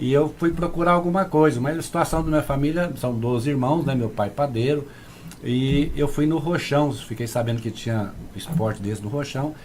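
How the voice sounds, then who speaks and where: Through noticeable background noise, a man speaks with a fairly high pitch. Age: 60s. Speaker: kung fu grandmaster. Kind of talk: casual interview chat.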